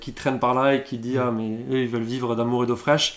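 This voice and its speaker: Flat, monotone intonation runs through this clip. The speaker is a man. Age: 30s. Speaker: apprentice market gardener. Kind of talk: interview. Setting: on the farm.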